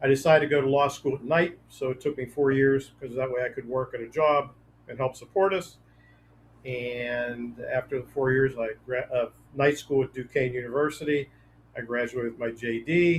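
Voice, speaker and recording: A man with an American accent, medium pitch, somewhat breathy delivery, fairly even intonation and a moderate pace. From Western Pennsylvania, near Pittsburgh. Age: 70s. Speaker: author and trial attorney. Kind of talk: interview. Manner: hesitant with fillers.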